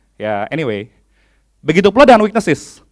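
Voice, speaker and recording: A man at a fairly quick pace. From Indonesia, Bandung (West Java). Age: 30s. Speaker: HR executive and conference speaker. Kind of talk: conference talk. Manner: animated.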